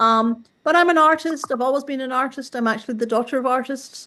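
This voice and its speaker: A woman in a Scottish accent, high-pitched and very fast, over a quiet background. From Scotland, Glasgow. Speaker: artist and workshop organizer. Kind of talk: interview.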